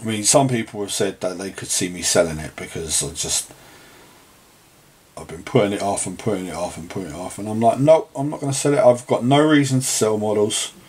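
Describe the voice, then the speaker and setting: With a relaxed tone and lively intonation, a man with a fairly low pitch speaks at a fairly quick pace, his loudness swinging widely over noticeable background noise. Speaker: miniature painter and wargaming hobbyist. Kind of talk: casual talk to camera. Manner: relaxed, rambling.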